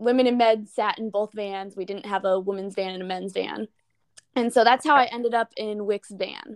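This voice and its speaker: A woman talks in a plain, everyday voice at a medium pitch, with fairly even intonation and a moderate pace. The sound is dry and close, with no echo. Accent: American. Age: 20s. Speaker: college runner working full time. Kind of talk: interview.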